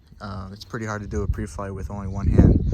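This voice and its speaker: A man talks with vocal fry. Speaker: pilot. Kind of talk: casual walkthrough tutorial. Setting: outdoors. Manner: casual, hesitant.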